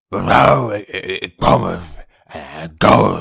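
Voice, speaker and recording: A raspy, put-on character voice mumbles its words. The pace is fairly slow. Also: man, very deep, low pitch for a man. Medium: dub. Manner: mumbled, hard to understand.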